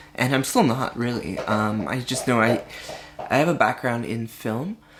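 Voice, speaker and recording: A woman with a very deep, low pitch speaks at a moderate pace with ordinary pitch variation. Noticeable background noise is present. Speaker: vlogger. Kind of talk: casual vlog monologue. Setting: home, alone with cat. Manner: halting, many fillers and restarts; voice fluctuating, practicing feminized pitch.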